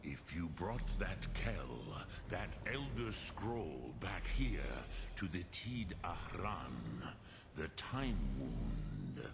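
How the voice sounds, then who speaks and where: Through loud background noise, a man uses a put-on character voice at a very slow pace. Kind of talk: solemn epic fantasy. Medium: video game. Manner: slow, measured, mixes in dragon words.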